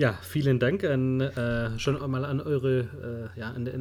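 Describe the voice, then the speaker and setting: Noticeable background noise runs behind this recording. A man speaks at a fairly slow pace. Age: 30s. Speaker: wedding photographer, podcast co-host. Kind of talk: casual chat.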